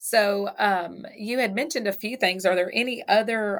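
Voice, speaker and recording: A woman talks at a medium pitch in a Southern US accent. The recording is very clean, with a silent background. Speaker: chamber of commerce interviewer. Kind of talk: casual interview.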